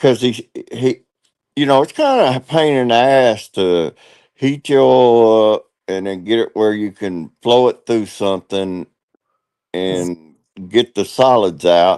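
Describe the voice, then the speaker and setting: This man has an ordinary speaking voice at medium pitch, with lively intonation and a fairly slow pace. The sound is dry and close, with no echo. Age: 60s. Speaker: live streamer. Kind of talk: casual chat.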